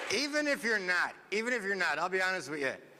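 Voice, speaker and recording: A man with a Newfoundland accent speaks in a raised, projected voice at a fairly quick pace, high-pitched and animated. His tone is bright and sharp, with audible room echo. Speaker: comedian. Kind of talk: stand-up. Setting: stage with audience.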